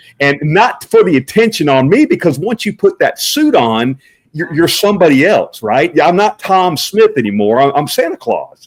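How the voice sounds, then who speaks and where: A man speaks loudly at a high pitch and a moderate pace, with very wide pitch swings and hardly any pauses. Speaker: Santa Claus performer. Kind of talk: casual interview chat.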